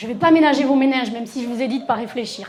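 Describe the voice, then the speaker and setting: Audible room echo surrounds a woman's high-pitched voice, which has ordinary pitch variation. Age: 50s. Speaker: sexologist. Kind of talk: conference talk. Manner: animated, talks with her hands.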